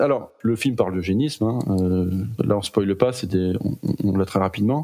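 The speech comes at a fairly quick pace with noticeable background noise. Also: man. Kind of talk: casual chat about films.

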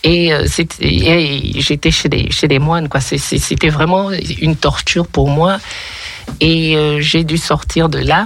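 Noticeable background noise sits behind a woman with a very deep, low pitch. She speaks at a very slow pace, with very even loudness and fairly even intonation. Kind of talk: casual chat. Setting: studio. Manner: halting.

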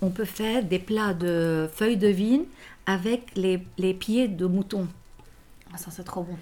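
Speaking at a very slow pace with long, frequent pauses, a woman keeps a medium pitch and fairly even intonation while her loudness swings widely. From Lebanon. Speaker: homemaker and mother. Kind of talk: casual chat.

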